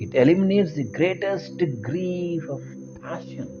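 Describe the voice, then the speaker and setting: A speaker with an Indian accent is heard with audible room echo and music in the background. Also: man. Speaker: spiritual teacher. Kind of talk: lecture.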